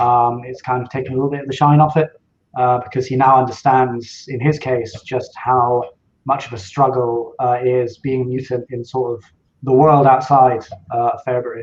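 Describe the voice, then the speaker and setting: A somewhat breathy man talks at a moderate pace and medium pitch, his intonation monotone and flat. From Scottish Highlands. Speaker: novelist. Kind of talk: podcast interview. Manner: hesitant, many fillers.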